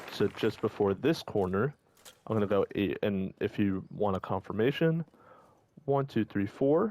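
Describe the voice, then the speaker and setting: A man's dark, mellow voice at a fairly low pitch, with lively intonation, in a dry, close recording with no echo, very clean and silent behind. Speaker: gaming walkthrough creator. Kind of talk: live gameplay commentary tutorial. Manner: fast.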